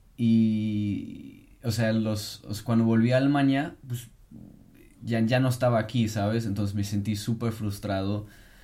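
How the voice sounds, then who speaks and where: A man speaks at medium pitch in a dark, mellow tone with fairly even intonation. His pace is fairly slow, and audible room echo is present. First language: German (speaking Spanish). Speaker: podcast co-host. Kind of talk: casual chat.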